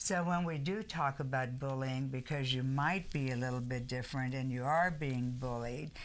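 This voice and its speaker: This woman's pitch is very deep and low, and she leaves hardly any pauses. Audible room echo surrounds her voice. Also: ordinary pitch variation, moderate pace. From Germany, moved to an English-speaking country at ten. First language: German. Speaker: talk show co-host. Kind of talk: casual chat.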